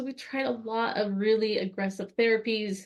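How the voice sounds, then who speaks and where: This woman speaks with a fairly high pitch. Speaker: renal dietitian presenter. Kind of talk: webinar presentation. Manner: fast.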